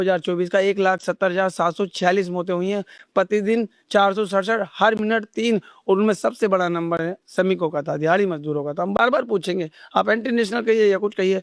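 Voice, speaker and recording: Over a quiet background, a man with a high-pitched voice talks at a moderate pace. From Delhi, India. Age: 30s. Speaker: ice shop owner. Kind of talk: interview answer. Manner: passionate, forceful.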